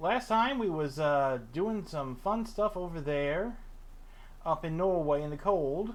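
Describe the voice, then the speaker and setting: Fairly high-pitched male speech in a space with audible room echo. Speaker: gaming streamer. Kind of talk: casual live stream chat. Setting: live stream. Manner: loud.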